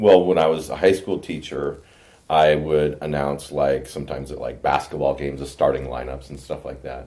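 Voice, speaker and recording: The voice is dark and mellow with vocal fry and fairly even intonation. It moves at a moderate pace, with big swings in loudness. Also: man, very deep, low pitch for a man. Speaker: podcast host. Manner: hesitant, stumbling over words.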